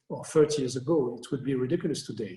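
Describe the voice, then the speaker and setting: A man speaks in a fairly high voice with a dark, mellow tone and a somewhat breathy quality. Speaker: landscape architect. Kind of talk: Q&A after lecture.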